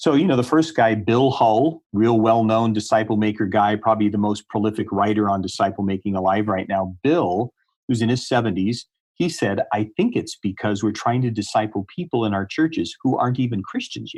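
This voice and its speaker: Against a quiet background, a man with an unremarkable speaking voice and a fairly low pitch talks at a fairly quick pace with ordinary pitch variation. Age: 60s. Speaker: ministry leader and author. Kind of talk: interview. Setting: podcast.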